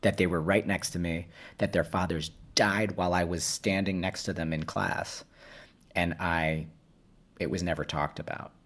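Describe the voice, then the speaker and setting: With an American accent and a very deep, low pitch, a man speaks at a moderate pace with fairly even intonation and long, frequent pauses, on a very clean recording with a silent background. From New York City. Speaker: actor and playwright. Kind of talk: interview. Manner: halting.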